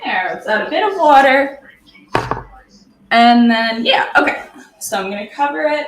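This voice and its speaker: Her voice is high-pitched and swings very widely in pitch, and the woman leaves long, frequent pauses in a room with audible echo. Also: moderate pace. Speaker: streamer. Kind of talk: casual chat. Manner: casual, rambling filler words.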